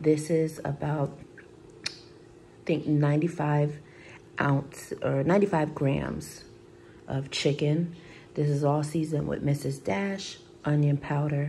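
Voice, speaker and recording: A woman's very deep, low, somewhat breathy voice in flat, monotone intonation at a fairly slow pace, with long, frequent pauses and light background noise. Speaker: vlogger. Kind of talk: casual vlog chat. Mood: relaxed, after a shower. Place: kitchen.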